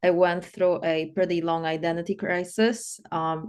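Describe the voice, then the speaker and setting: A woman with a Polish accent at a fairly slow pace and fairly low pitch, against a quiet background. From Poland. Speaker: life coach. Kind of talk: interview.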